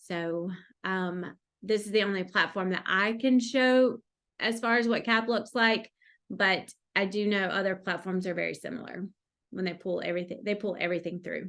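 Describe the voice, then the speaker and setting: Set against a quiet background, a normal speaking voice proceeds at a moderate pace with fairly even intonation. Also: woman, medium pitch for a woman. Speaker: call organizer. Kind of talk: software demo.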